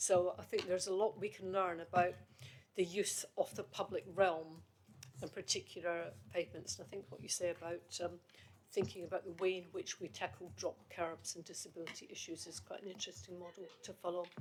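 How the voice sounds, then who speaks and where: A woman with a slight Scottish accent speaks in a fairly low voice with vocal fry and ordinary pitch variation. Her loudness swings widely. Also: fairly quick pace. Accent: faint Scottish tone. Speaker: committee chair. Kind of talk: committee meeting discussion.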